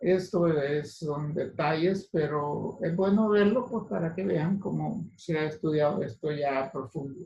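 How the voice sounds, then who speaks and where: Speaking at a fairly slow pace with hardly any pauses, a man uses a fairly high pitch and ordinary pitch variation. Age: 60s. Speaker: physician lecturer. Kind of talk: lecture. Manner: halting.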